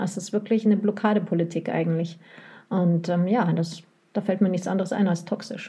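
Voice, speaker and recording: A woman of medium pitch talks at a fairly quick pace with fairly even intonation in a somewhat breathy, dark, mellow tone. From West Germany. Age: 40s. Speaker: publisher's sales rep, former bookseller. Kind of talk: casual chat.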